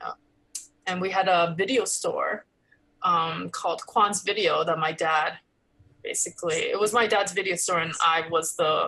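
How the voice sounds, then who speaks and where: A woman with a Los Angeles accent speaks at a moderate pace. She leaves long, frequent pauses. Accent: American English, Los Angeles. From Los Angeles, California (Koreatown), part of childhood in Korea. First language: Korean. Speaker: actress and comedian. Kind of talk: interview conversation. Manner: casual, with many fillers.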